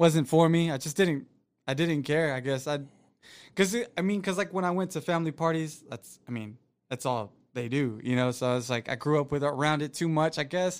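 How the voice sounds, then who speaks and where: On a very clean recording with a silent background, the speaker has an American accent and an unremarkable speaking voice. The pace is fairly quick, with ordinary pitch variation. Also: man, fairly high pitch for a man. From Florida, US South. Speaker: podcast guest, new YouTuber, former boxer. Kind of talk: casual chat.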